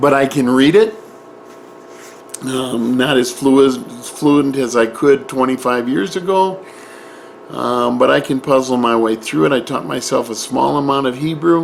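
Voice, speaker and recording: Noticeable background noise sits behind a man's medium-pitched voice. He talks at a fairly slow pace with lively intonation. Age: 60s. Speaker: Bible teacher. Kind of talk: personal introduction monologue. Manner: halting.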